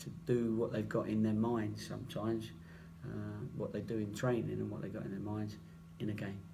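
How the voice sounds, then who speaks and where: With an English accent, a man talks at a fairly quick pace, broken by long, frequent pauses, in audible room echo. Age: 60s. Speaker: football manager. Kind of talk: press conference.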